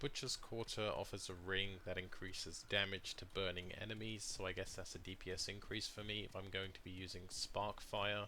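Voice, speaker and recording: A man's fairly low, bright, sharp voice, flat and monotone, at a moderate pace. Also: hardly any pauses. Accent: British. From Britain. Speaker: gaming streamer. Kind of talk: gameplay commentary. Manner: casual.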